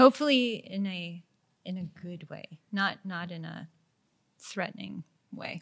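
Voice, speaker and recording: A woman talks fairly slowly in a medium-pitched, somewhat breathy voice, leaving long, frequent pauses. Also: ordinary pitch variation. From Montreal, Quebec. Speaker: creative director. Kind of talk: casual chat. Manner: direct.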